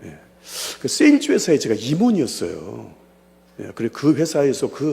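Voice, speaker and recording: An animated man at a fairly quick pace, with vocal fry and very wide pitch swings. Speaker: pastor and evangelism lecturer. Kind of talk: seminar lecture with personal testimony. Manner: fast; animated, conversational.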